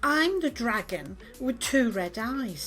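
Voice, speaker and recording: A woman puts on a character voice at a fairly high pitch and a fairly slow pace. Clear background noise runs behind her. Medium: read story.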